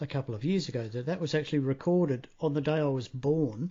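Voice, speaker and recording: A man's voice, ordinary in its pitch variation, moves along at a moderate speed. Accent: Australian. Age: 50s. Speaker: radio interviewer. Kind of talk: interview. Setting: phone call.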